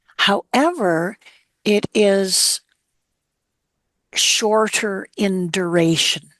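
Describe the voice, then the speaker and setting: A woman's medium-pitched voice at a very slow pace, with ordinary pitch variation, long, frequent pauses and a dry, close sound with no echo. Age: 70s. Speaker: actress and career coach. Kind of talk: heartfelt conversation about grief.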